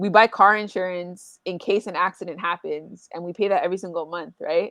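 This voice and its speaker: In an unremarkable speaking voice, a woman of medium pitch talks at a fairly quick pace with big swings in loudness, recorded dry and close with no echo over a quiet background. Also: fairly even intonation. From Canada. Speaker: podcast host. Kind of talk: interview.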